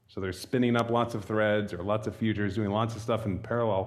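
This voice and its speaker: Audible room echo carries this voice. It belongs to a man speaking at a fairly quick pace. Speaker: software library developer, conference speaker. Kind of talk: technical talk. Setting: stage with audience at meetup.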